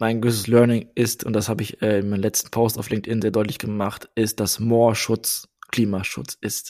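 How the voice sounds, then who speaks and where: A man's dark, mellow voice at a medium pitch, with fairly even intonation. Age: 30s. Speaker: marketing manager and podcaster. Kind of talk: interview.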